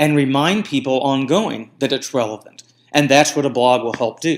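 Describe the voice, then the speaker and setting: A man speaks in an ordinary speaking voice at a fairly slow pace, on a very clean recording with a silent background. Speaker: marketing podcast host. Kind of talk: solo podcast monologue.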